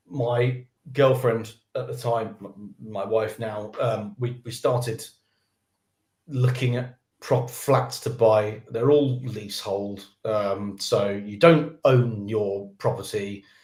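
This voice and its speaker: A man speaks very slowly at a medium pitch, his voice somewhat breathy. His intonation stays fairly even while his loudness swings widely. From England, Birmingham and London. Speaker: developer advocate. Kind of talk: casual interview chat. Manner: halting, many repetitions.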